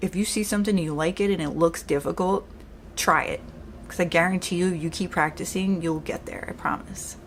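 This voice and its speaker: A woman with a strong New York accent talks at a fairly quick pace in a fairly low pitch with fairly even intonation, amid noticeable background noise. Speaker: makeup artist. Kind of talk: tutorial. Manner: sounds aggressive.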